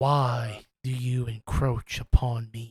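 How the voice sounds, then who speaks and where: A gravelly put-on character voice from a man, medium-pitched, monotone and flat, at a very slow pace. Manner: menacing, confronting.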